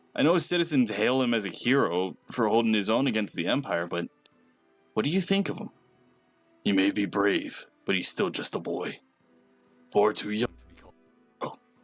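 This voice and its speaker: A man uses a put-on character voice at medium pitch and a moderate pace, with lively intonation and big swings in loudness. Long, frequent pauses break it up while faint music plays in the background. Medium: game stream. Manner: measured, authoritative.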